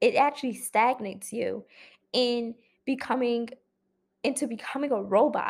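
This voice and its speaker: In a very clean recording with a silent background, a woman with a high pitch and fairly even intonation speaks at a moderate pace, leaving long, frequent pauses. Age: 20s. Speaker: podcast host. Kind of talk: solo monologue podcast. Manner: casual with frequent fillers.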